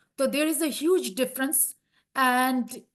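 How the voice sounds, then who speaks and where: A woman's raised, projected voice, high in pitch, in an Indian accent, at a fairly slow pace with fairly even intonation. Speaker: healthcare professional panelist. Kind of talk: panel discussion.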